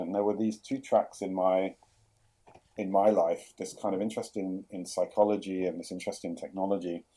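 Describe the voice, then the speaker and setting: Speaking at a fairly quick pace, a man talks in a London accent. His pitch is fairly low, and his intonation is fairly even. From London, England. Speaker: chief product officer. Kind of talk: podcast interview. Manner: hesitant, many fillers and repeats.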